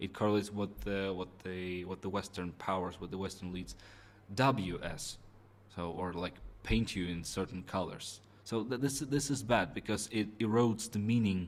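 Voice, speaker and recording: Fairly low in pitch, a man speaks with a Russian accent. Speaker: Russian embassy representative. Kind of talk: interview. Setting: in-person interview at embassy. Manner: halting, many fillers and repetitions.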